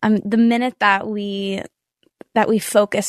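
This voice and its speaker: With an American accent, a woman speaks in a normal speaking voice at medium pitch. Her pace is fairly slow, and the background is quiet. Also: dry, close sound with no echo. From Nashville, Tennessee, US South. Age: 20s. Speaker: singer-songwriter. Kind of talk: casual interview chat.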